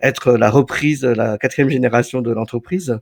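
A man of medium pitch speaks at a moderate pace with fairly even intonation, in an unremarkable speaking voice. The recording is very clean and dry, close, with no echo and a silent background. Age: 40s. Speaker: photographer and entrepreneur. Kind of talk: interview.

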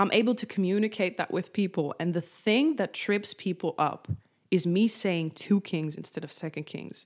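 A woman with a Dutch accent speaks at a moderate pace in a medium pitch with ordinary pitch variation, on a very clean recording with a silent background. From Netherlands. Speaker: faith-based content creator and podcast host. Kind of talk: devotional talk, solo podcast.

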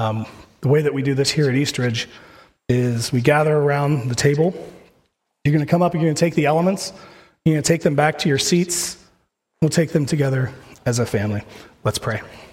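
The speech moves at a fairly quick pace, somewhat breathy, with ordinary pitch variation and long, frequent pauses. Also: man, fairly high pitch for a man. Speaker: pastor. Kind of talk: sermon. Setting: church.

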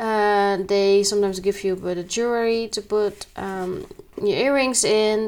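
A woman's fairly high voice with a non-native accent, at a moderate pace with fairly even intonation. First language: not English. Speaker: spiritual podcaster. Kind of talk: solo monologue. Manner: halting.

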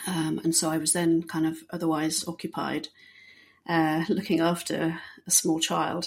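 In a British accent, a woman with a fairly low pitch talks at a fairly slow pace. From Bahrain and England. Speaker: detection dog trainer and search and rescue handler. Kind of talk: interview. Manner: hesitant, many fillers.

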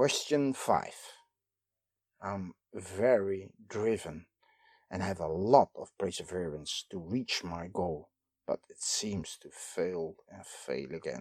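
In a Dutch accent, a man with a very deep, low voice speaks at a very slow pace, with lively intonation and big swings in loudness, on a very clean recording with a silent background. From Netherlands. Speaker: lecturer. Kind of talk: lecture.

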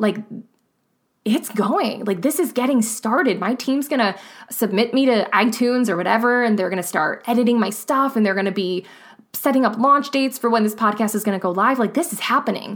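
Fairly high in pitch with ordinary variation, a woman with a Midwestern American accent talks at a fairly quick pace. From US Midwest. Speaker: podcast host. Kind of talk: motivational monologue. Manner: casual, conversational.

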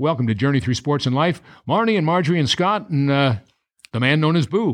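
A plain, everyday voice from a man, fairly high in pitch with lively intonation, over a quiet background. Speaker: sports show host. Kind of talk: broadcast interview.

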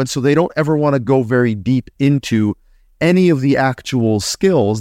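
In a very clean recording with a silent background and a dry, close sound with no echo, a man uses a normal speaking voice at a medium pitch, with ordinary pitch variation and a moderate pace. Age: 40s. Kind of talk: casual chat.

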